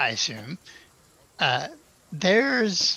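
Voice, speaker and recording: A man puts on a character voice. It sounds raspy. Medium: actual play.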